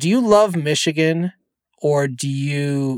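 With a General American accent, a man speaks in a normal speaking voice, fairly high-pitched, with lively intonation. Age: 40s. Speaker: podcast host. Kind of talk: casual chat. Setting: studio.

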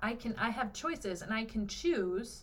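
A woman with a fairly high pitch talks in an animated, somewhat breathy tone, with audible room echo around her. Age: 30s. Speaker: sex worker and somatic practitioner. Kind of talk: casual chat.

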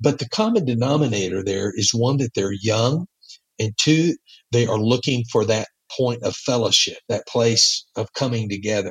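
Speaking with a Texas accent, a man with a somewhat breathy voice talks at medium pitch and a moderate pace with ordinary pitch variation, in a dry, close sound with no echo. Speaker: church planter missionary. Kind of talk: casual interview. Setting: in Mexico, recorded remotely.

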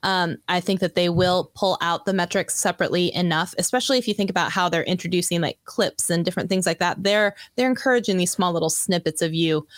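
A woman at medium pitch speaks very fast with hardly any pauses, very even loudness and fairly even intonation, the sound dry and close with no echo on a very clean recording over a silent background. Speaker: YouTube coach. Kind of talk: casual interview chat.

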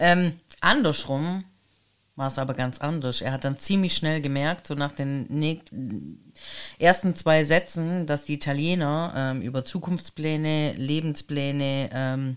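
Her pace very slow, a woman speaks in a very deep, low pitch. Her pitch varies in an ordinary way. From Germany, Italian family. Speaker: podcast co-host. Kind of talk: casual chat.

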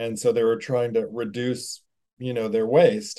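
With a dark, mellow tone, a man speaks at a moderate pace and with fairly even intonation. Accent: American. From Alabama, US South (Birmingham). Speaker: furniture company co-owner. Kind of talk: casual interview. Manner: halting, many fillers.

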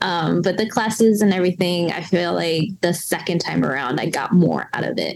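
Speaking with an American accent, a woman uses a fairly low pitch, vocal fry, ordinary pitch variation and a moderate pace, with hardly any pauses. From US South, western North Carolina. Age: 30s. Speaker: coffee roaster and business owner. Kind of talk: casual interview chat.

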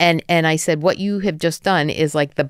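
A woman's very deep, low voice with a New Jersey accent, very fast and monotone, on a very clean recording against a silent background. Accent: American, New Jersey. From US, New Jersey. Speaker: venture capital investor. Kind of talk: podcast interview. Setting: studio.

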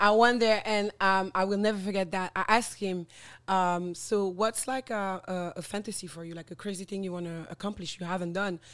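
With a French accent, a woman talks at a fairly quick pace and medium pitch, her intonation fairly even but her loudness swinging widely. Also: very clean recording, silent background. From French Guiana. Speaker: social media influencer and former radio host. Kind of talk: casual interview chat. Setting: podcast recording.

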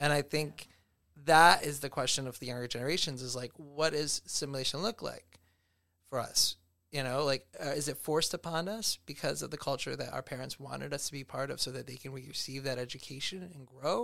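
This man talks at a fairly quick pace in an American accent, his voice fairly high in pitch with ordinary pitch variation and some vocal fry. The tone is bright and sharp, and the recording is very clean with a silent background. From US, Cuban American family. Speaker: educator and artist. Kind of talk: casual chat.

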